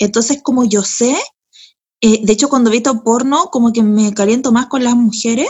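With a Chilean accent, a woman speaks at a moderate pace and a high pitch with ordinary pitch variation. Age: 30s. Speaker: comedian and writer. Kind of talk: casual chat.

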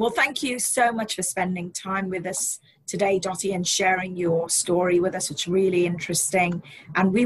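A woman's somewhat breathy voice at a moderate pace. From immigrant to the US. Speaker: podcast host, marketing and training coordinator. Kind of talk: interview.

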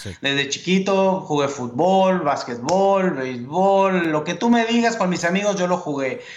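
Against noticeable background noise, a man talks at a high pitch and moderate pace with ordinary pitch variation. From Mexico (Mexico City, Sonora). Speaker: sports journalist and TV co-host. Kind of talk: interview, casual chat.

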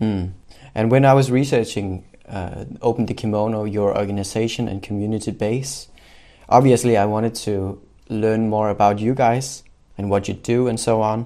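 This man, speaking with a Danish accent, has a fairly low pitch, a dark, mellow tone and fairly even intonation, and he keeps a moderate pace. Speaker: podcast host. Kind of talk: interview.

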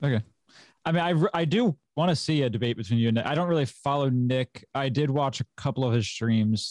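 A man with an American accent and a medium pitch talks at a fairly quick pace, with ordinary pitch variation and very even loudness. The sound is dry and close, with no echo. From US, Maryland. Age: 20s. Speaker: podcast host. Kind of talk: casual political debate. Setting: video call on live stream. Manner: halting, many fillers.

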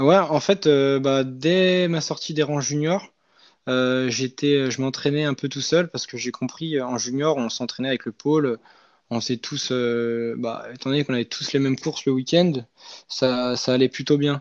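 A man speaks at a fairly slow pace in a fairly high pitch, his intonation fairly even. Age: 20s. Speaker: former elite cyclist and coaching trainee. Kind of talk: casual interview. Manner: hesitant, many fillers.

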